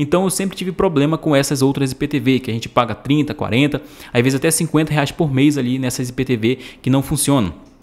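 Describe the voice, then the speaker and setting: With a Brazilian accent, a man speaks at a moderate pace. His pitch is fairly high, with ordinary pitch variation. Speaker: YouTube IPTV promoter. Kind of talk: infomercial. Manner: pushy, repetitive sales-pitch delivery; casual, chatty, filler-heavy, addressing viewers as friends. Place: home room. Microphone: studio mic.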